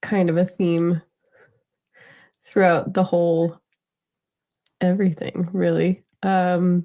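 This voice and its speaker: This woman's voice carries a dark, mellow tone. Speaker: podcast co-host, triplet. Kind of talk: casual chat. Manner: even, unenthusiastic; hesitant with fillers.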